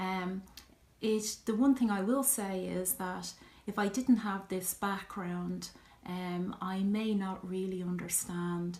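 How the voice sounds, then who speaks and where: Speaking very slowly with a strong Irish accent, a woman sounds somewhat breathy, her intonation fairly even. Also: medium pitch for a woman. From Ireland. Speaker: vlogger. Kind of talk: personal vlog talk, answering questions. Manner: hesitant, many fillers.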